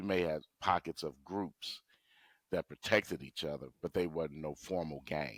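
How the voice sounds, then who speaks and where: In a dry, close sound with no echo, a man with an American accent talks at a moderate pace, his very deep, low pitch showing ordinary variation and vocal fry. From Gary, Indiana. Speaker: local political candidate. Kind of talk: interview.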